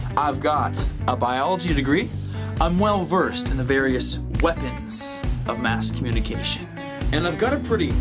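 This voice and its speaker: With loud music behind him, a man speaks in an upbeat, energetic tone at a moderate pace. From Canada. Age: 20s. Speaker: travel video host and freelance videographer; travel video host. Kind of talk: travel host demo reel, casual talk to camera. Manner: upbeat, energetic, playful. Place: home room.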